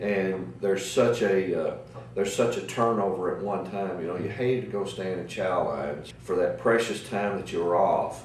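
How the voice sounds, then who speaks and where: Over noticeable background noise and audible room echo, a man talks at a moderate pace in a fairly low pitch with ordinary pitch variation. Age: 60s. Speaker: navy veteran. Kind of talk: oral history interview. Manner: halting, many fillers.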